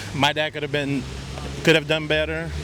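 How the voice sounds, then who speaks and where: Over noticeable background noise, a man with an American accent speaks at a moderate pace with fairly high pitch and monotone, flat intonation. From South Texas, Victoria. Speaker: street interviewee. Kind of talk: casual chat. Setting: outdoors.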